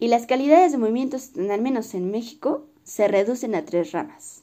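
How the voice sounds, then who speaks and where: At a fairly slow pace, someone talks in a dark, mellow tone. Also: woman. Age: 20s. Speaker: dancer. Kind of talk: casual interview; scripted narration.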